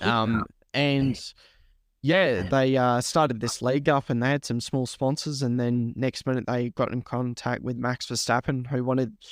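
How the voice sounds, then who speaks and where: The recording of this man with an Australian accent is very clean, with a silent background. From Australia, New South Wales (Lake Macquarie). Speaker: sim racer and commentator. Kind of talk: podcast interview. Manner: casual, many fillers. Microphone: new microphone.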